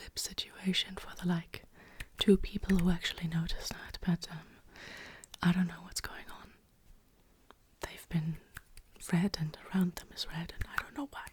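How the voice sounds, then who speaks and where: Someone whispers at a moderate pace. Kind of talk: ASMR whisper ramble. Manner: whispered, soft-spoken.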